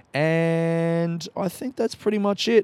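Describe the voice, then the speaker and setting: A man with an Australian accent, ordinary pitch variation, and a dry, close sound with no echo. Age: 30s. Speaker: podcast host and comedian. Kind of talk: podcast intro monologue; casual chat. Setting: outdoor courtyard.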